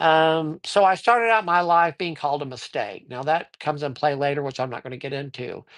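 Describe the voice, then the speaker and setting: The speaker has an American accent and talks at a fairly quick pace with hardly any pauses. The background is quiet. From Colorado. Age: 60s. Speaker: tarot reader livestreamer. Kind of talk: casual live-stream talk. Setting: live stream. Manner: hesitant, many fillers.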